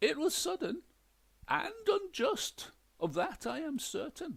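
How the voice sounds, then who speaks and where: Using a put-on character voice, a man talks at a fairly slow pace and an extremely high pitch. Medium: read story. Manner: stiff, prim, clipped.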